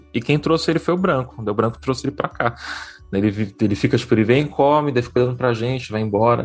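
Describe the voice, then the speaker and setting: With music in the background, a man speaks at a very fast pace. His medium-pitched voice has lively intonation. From São Paulo state coast, Brazil. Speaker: journalist and podcaster. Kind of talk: casual interview chat. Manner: halting, many repetitions.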